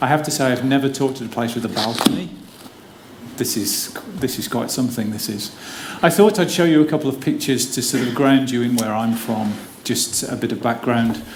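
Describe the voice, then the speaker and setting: A man with an English accent at a medium pitch, fairly quick pace and ordinary pitch variation, with noticeable background noise and audible room echo. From English Midlands, near Wolverhampton. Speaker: physiotherapy academic. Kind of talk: conference talk. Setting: theater stage with audience. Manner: casual, humorous.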